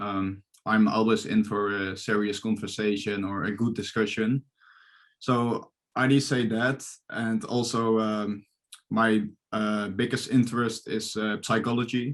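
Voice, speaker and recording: A medium-pitched man with a Dutch accent, fairly slow pace and fairly even intonation, set against a quiet background. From Netherlands. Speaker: psychology student. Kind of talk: interview. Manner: halting, many fillers.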